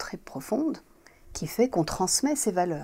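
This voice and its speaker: A woman speaks at a moderate pace. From Morocco. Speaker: architect. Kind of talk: interview. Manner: halting, with many fillers.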